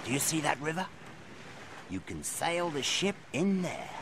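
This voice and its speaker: A man's put-on character voice amid clear background noise. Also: fairly high pitch for a man, moderate pace. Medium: audio drama. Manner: gruff, sly.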